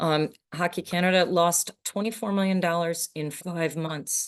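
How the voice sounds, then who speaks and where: Against a quiet background, a woman with an unremarkable speaking voice speaks at a fairly low pitch with fairly even intonation. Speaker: sustainability sponsorship consultant. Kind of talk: conference presentation.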